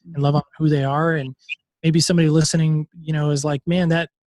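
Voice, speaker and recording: A man talks at a very fast pace in a fairly high pitch, somewhat breathy. The sound is dry and close with no echo. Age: 40s. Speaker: podcast host and former pastor. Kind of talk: interview. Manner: animated.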